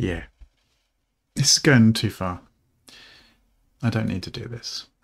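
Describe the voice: Slow and with vocal fry, a man talks in a fairly low pitch with a slightly husky edge and ordinary pitch variation.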